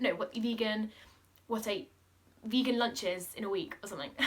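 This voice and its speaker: Over noticeable background noise, a woman talks at a fairly quick pace in a fairly high pitch. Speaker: lifestyle vlogger. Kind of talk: casual chat. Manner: fast; animated.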